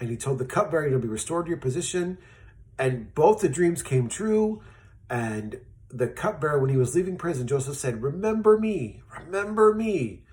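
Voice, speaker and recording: Animated in tone, a man with a fairly high pitch speaks with very wide pitch swings. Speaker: children's Bible storyteller. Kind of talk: children's Bible story. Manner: fast.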